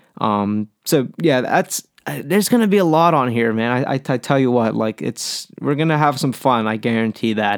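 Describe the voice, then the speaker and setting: In an American accent, a man with an unremarkable speaking voice talks at a moderate pace and medium pitch with ordinary pitch variation, the sound dry and close with no echo and the recording very clean over a silent background. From Pittsburgh, Pennsylvania. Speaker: music podcast host. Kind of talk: solo podcast monologue. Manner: casual, many filler words.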